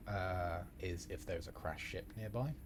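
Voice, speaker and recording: With an English accent, a man talks in a very deep, low voice at a fairly slow pace, his tone relaxed. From England. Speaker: video game streamer. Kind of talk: casual live-stream commentary. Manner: relaxed, conversational.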